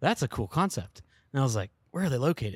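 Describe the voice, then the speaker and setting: With an American accent, a man speaks with lively intonation and a somewhat breathy voice, the sound dry and close with no echo in a very clean recording with a silent background. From US South, Shenandoah Valley, Virginia. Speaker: guidance and navigation engineer. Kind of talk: casual chat.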